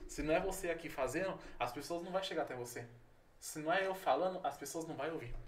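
Over noticeable background noise and audible room echo, a man talks at a very fast pace in a high pitch with ordinary pitch variation. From São Paulo, Brazil. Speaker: pastor and missionary. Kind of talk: casual interview.

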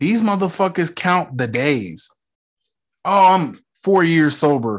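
A man speaks in an animated tone at a fairly slow pace. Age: 30s. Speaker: TV review podcaster. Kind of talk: casual solo commentary.

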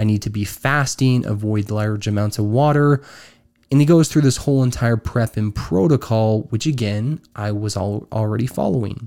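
In a very clean recording with a silent background, a man with an American accent speaks at a moderate pace in a fairly low, dark, mellow voice with ordinary pitch variation. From Utah. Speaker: podcast host. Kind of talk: personal storytelling monologue.

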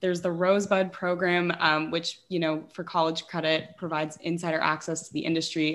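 A woman's unremarkable speaking voice with an American accent, fairly low in pitch, at a fairly quick pace and with fairly even intonation, on a very clean recording with a silent background. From Los Angeles. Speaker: student podcast host. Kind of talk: interview.

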